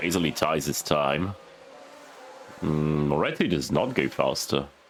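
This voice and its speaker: Against noticeable background noise, a man with a very deep, low pitch speaks at a fairly slow pace with ordinary pitch variation. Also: long, frequent pauses, very even loudness. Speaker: gaming video creator. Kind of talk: gameplay commentary. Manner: quieter and lower than usual.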